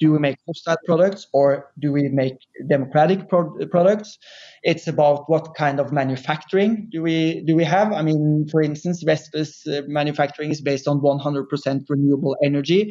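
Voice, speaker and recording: At a moderate pace, a man speaks with a Norwegian accent. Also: fairly high pitch for a man. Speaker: furniture company CEO. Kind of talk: interview conversation. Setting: remote recording.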